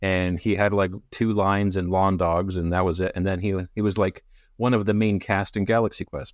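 Speaking at a fairly quick pace, a man with an unremarkable speaking voice and a Canadian accent keeps his fairly low voice in fairly even intonation over a quiet background. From Canada. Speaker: podcast co-host discussing a novel. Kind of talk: casual chat.

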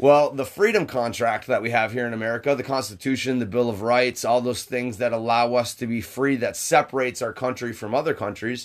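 A loud man's voice at a medium pitch. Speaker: podcast co-host. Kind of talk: casual chat.

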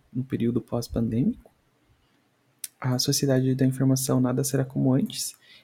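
The man's voice has a dark, mellow tone and is somewhat breathy. He speaks at a moderate pace with a medium pitch. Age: 20s. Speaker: podcast host. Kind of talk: casual solo commentary. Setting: home recording, video podcast. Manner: halting, frequent repetitions.

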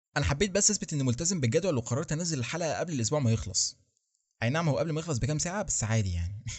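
Breathing audibly at times, a man with an Egyptian accent races along at a very fast pace, his fairly high voice swinging very widely in pitch. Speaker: podcast host. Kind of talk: solo monologue podcast.

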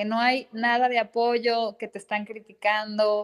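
A woman's fairly slow speech in a high pitch. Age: 30s. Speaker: psychoanalyst. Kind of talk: interview conversation.

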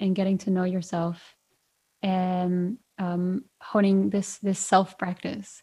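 A woman speaks very slowly in a dark, mellow tone at a medium pitch, somewhat breathy. The recording is very clean, with a silent background. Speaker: podcast host. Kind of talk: interview conversation.

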